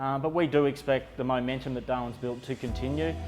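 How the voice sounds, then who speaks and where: The speaker is a man with a medium-pitched voice. Music plays in the background. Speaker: auctioneer. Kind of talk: corporate market-update talk to camera. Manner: measured, confident, conversational.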